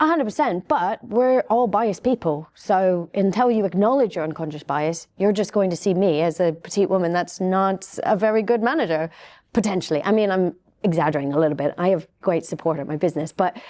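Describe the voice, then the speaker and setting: Against a quiet background, a woman with a dark, mellow tone and medium pitch speaks fairly quickly with lively intonation. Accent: British. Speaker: cybersecurity panelist. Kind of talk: panel discussion. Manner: soft-spoken.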